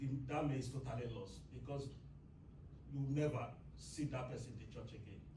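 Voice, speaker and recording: Noticeable background noise and audible room echo fill the clip. The speech has long, frequent pauses. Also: man, medium pitch for a man. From Nigeria. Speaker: church member. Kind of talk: Bible class discussion. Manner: halting.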